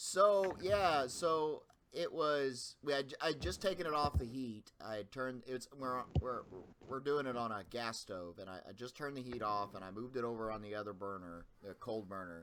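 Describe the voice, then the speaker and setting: This man talks at a moderate speed with a medium pitch that rises and falls very widely. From Perry County, Indiana, on the Ohio River. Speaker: channel host. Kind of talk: casual chat.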